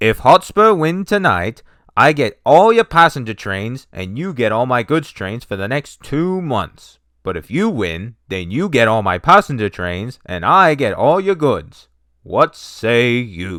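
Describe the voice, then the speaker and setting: At a fairly slow pace, a man performs a put-on character voice with a medium pitch and very wide pitch swings. The recording is very clean, with a silent background. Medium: read story. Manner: pompous.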